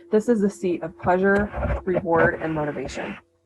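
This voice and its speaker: With music playing behind her, a woman talks with ordinary pitch variation. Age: middle-aged. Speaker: nurse and health coach. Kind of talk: educational presentation. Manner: sped up.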